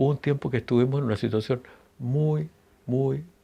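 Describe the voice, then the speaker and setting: In a Chilean accent, a man speaks at a moderate pace with ordinary pitch variation. His tone is dark and mellow, and the background is quiet. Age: 70s. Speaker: singer-songwriter. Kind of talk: interview. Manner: hesitant, many fillers and restarts.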